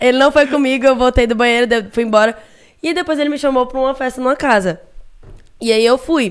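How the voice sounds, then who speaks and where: A woman in a Pernambuco accent speaks in an animated tone at a high pitch and fairly quick pace, with ordinary pitch variation and long, frequent pauses. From Recife, Brazil. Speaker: internet personality. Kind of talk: casual chat. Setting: studio.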